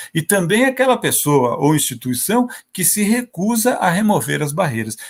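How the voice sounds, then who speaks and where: A somewhat breathy man's voice at a moderate pace, with very wide pitch swings. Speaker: judge. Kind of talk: panel talk at online seminar. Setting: online event. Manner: halting, with false starts.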